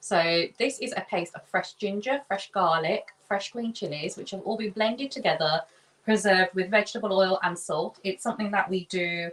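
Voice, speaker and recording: A woman talks at a moderate pace with ordinary pitch variation. She has a plain, everyday voice at a medium pitch. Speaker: chef. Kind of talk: cooking demonstration.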